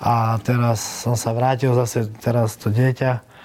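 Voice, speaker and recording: Medium-pitched male voice with noticeable background noise. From Slovakia. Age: 20s. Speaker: MMA fighter. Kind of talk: interview.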